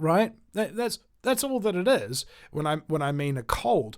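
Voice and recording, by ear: The recording is very clean with a silent background, and the voice moves at a moderate pace with big pitch swings. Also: man, fairly high pitch for a man.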